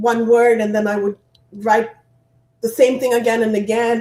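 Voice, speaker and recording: This is a woman's voice. Her pitch sits fairly high. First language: not English, not French. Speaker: author and inspirational speaker. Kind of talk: interview.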